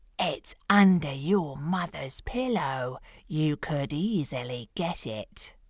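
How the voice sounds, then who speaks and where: A woman puts on a character voice with a very deep, low pitch and very wide pitch swings. She speaks at a very slow pace on a very clean recording with a silent background. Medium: read story. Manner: gruff, commanding.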